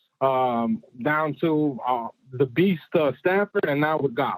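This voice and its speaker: With a New York accent, a man speaks at a fairly high pitch with ordinary pitch variation, in a dry, close sound with no echo. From New York City. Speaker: caller. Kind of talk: casual chat. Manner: halting.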